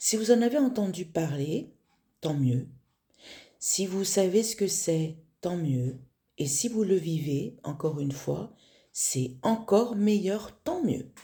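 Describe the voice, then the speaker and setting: A woman's dark, mellow, somewhat breathy voice with very wide pitch swings, very slow, with long, frequent pauses. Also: medium pitch for a woman. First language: not French (speaking French). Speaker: spiritual teacher. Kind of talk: spiritual talk. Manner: halting, many fillers.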